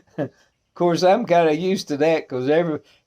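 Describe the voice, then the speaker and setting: This man talks at a fairly quick pace in a strong Arkansas accent, his pitch fairly high. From US South, northeast Arkansas. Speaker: pipe smoking video presenter. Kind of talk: casual chat. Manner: halting, many fillers.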